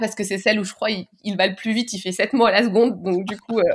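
A woman speaks at a fairly quick pace with fairly even intonation. Her pitch is medium, in a normal speaking voice. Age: 30s. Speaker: public sector digital worker. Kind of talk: interview.

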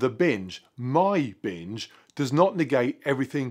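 The background is quiet as a man speaks at medium pitch. His pitch swings very widely. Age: 40s. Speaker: fitness vlogger. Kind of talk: vlog monologue to camera. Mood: earnest, reflective. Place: garage.

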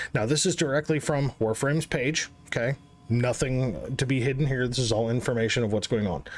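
At a moderate pace, a man speaks, his pitch varying in an ordinary way. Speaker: gaming youtuber. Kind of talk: casual commentary. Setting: screen recording. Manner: animated. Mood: frustrated, ranting.

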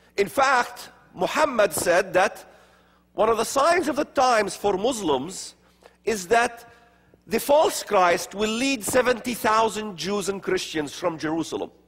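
The speaker moves at a fairly slow pace with lively intonation. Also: man, high pitch for a man. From Middle East, Palestinian areas. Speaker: speaker on religion and prophecy. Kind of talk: lecture. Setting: stage with audience. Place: church. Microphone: lapel.

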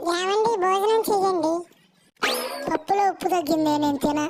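Squeaky and extremely high-pitched, a woman performs a cartoonish character voice. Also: moderate pace. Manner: comic bickering.

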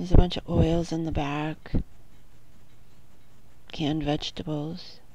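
Speaking at a fairly slow pace with long, frequent pauses, a woman has a very deep, low pitch and fairly even intonation. Her loudness swings widely, and the sound is dry with no echo. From New Hampshire. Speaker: homemaker. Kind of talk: casual talk to camera. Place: home room. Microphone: phone near.

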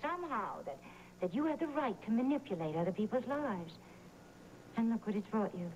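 Over light background noise, a woman's voice swings very widely in pitch. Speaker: soap opera actor. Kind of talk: dramatic dialogue. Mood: reproachful, earnest. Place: studio.

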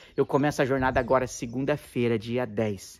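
A man's voice at medium pitch. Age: 40s. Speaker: therapist and Enneagram teacher; Enneagram teacher. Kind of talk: video monologue to camera. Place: garden. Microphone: phone near.

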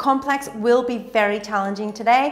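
A woman speaks with ordinary pitch variation. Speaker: fitness instructor. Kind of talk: tutorial. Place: home room.

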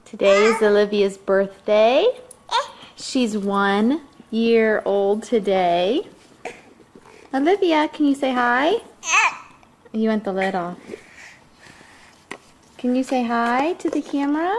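A woman speaks at a very slow pace, with long, frequent pauses. There is light background noise. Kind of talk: home video narration, baby talk. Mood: warm, affectionate, playful. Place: home room. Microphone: old recording.

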